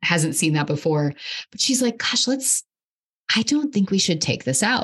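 Her intonation lively and her voice somewhat breathy, a woman speaks at a moderate pace. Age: 30s. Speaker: podcast host, mental health clinician. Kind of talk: casual interview conversation.

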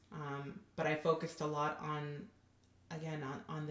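With an American accent, a woman talks in a very deep, low voice with monotone, flat intonation, and audible room echo. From Southern California. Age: 30s. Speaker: nonprofit worker. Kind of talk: testimony.

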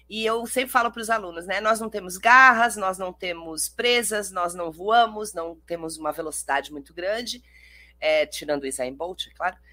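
At a moderate pace, a woman talks in an animated way with a bright, sharp tone, a medium pitch and lively intonation. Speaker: podcast host and teacher. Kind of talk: casual chat. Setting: live stream.

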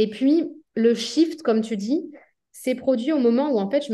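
With ordinary pitch variation, a woman talks in a dark, mellow tone. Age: 30s. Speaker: entrepreneur running three companies. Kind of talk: interview conversation.

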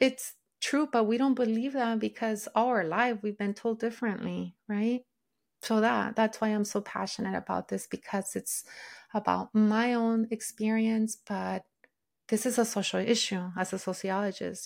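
In a Spanish accent, a woman speaks at a moderate pace with a fairly high pitch and fairly even intonation, on a very clean recording with a silent background. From Mexico. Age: 40s. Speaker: sociologist and intuitive eating coach. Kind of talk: interview.

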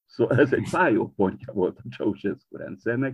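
This is a man speaking. He keeps a moderate pace. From Transylvania, Romania (Partium-born). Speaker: poet and literary editor. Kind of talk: interview conversation. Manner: halting, with fillers.

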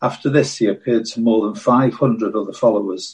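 This man's voice is somewhat breathy and medium in pitch. His pace is moderate. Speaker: scripture reader.

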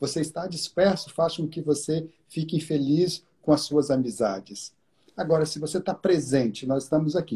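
Dark and mellow in tone, this voice moves through ordinary pitch variation. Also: man, fairly high pitch for a man, moderate pace. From Brazil, Minas Gerais. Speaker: meditation teacher. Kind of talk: live-stream interview. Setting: video live stream.

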